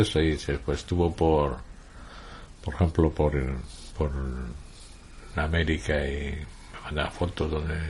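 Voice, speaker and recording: Vocal fry runs through a man's very deep, low voice as he talks at a moderate pace with ordinary pitch variation. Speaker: writer, journalist and radio broadcaster being interviewed. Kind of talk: interview answer, conversational.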